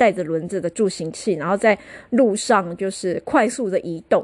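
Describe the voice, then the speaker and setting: A woman at a moderate pace, with very wide pitch swings, against a quiet background. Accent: Taiwanese. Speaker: podcast host. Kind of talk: casual solo podcast monologue. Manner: chatty, many filler particles.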